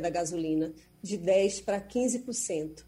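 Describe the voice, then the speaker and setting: This voice belongs to a woman and has a dark, mellow tone. It carries a somewhat breathy quality. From Brazil. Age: 40s. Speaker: foreign correspondent. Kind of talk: radio news commentary.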